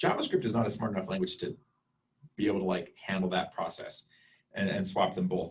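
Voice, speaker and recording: A man speaks in a somewhat breathy voice. His pitch swings very widely. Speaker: college instructor. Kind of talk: lecture. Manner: fast.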